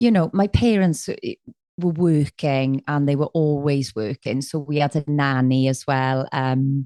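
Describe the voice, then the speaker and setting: With a South Wales accent, a woman speaks at a fairly slow pace in a very deep, low pitch and a dark, mellow tone, with ordinary pitch variation. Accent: South Wales Valleys. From Wales, Aberdare. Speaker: musician and life coach. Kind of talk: podcast interview. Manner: energetic.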